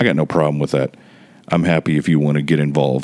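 Against noticeable background noise, a man speaks at a very deep, low pitch with monotone, flat intonation. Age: 40s. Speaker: podcast host and softball tournament organizer. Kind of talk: casual solo monologue. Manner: rambling, conversational.

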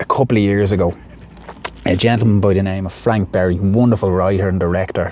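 Noticeable background noise runs behind a man with an Irish accent. He talks at a fairly quick pace with fairly even intonation. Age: 30s. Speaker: podcast host. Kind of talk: personal monologue.

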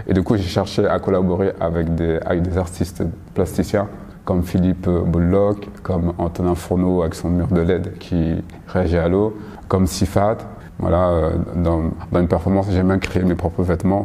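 Speaking at a moderate pace, a man with a very deep, low voice holds a monotone, flat intonation through noticeable background noise. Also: very even loudness. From Paris, France. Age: 30s. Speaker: choreographer and graphic designer. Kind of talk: interview. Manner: halting, many repetitions and fillers.

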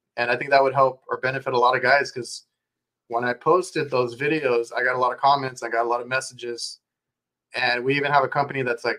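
A man with an American accent, an ordinary speaking voice at medium pitch, fairly even intonation and a fairly quick pace. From South Texas. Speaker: podcast host. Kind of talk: casual interview chat.

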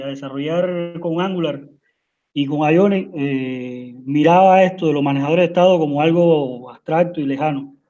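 Speaking fairly slowly, a man varies his pitch in an ordinary way. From Cuba. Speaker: software engineer. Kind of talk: technical presentation. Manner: halting.

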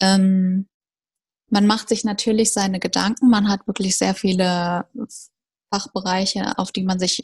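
Somewhat breathy and at a medium pitch, a woman speaks at a fairly slow pace with monotone, flat intonation, in a dry, close sound with no echo. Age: 20s. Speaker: recent dental graduate. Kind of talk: interview.

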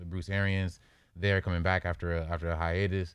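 A man with an American accent speaks in a very deep, low pitch on a very clean recording with a silent background. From Los Angeles. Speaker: sports analyst, grad student. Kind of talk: sports debate. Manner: halting.

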